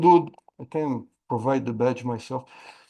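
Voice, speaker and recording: A man with a Portuguese accent and a dark, mellow tone, at a moderate pace with ordinary pitch variation. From Brazil. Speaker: AI risk management expert and trainer. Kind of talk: webinar Q&A. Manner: halting, many repetitions.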